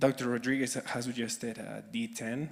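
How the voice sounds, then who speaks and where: With vocal fry and a Spanish accent, the voice moves at a moderate pace in monotone, flat intonation. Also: man. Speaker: audience member asking a question. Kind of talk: audience question at a conference. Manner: halting.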